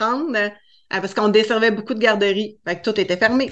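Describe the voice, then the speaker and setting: The background is quiet as a woman talks at a fairly quick pace. Her fairly high voice holds a fairly even intonation. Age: 40s. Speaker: cake design entrepreneur. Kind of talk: interview.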